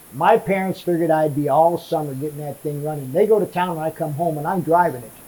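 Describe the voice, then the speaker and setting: Over noticeable background noise, a man with a fairly high pitch and ordinary pitch variation talks at a very fast pace, his loudness swinging widely. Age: 70s. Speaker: retired radiator mechanic. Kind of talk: casual interview. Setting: in his workshop. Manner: halting, repeats words.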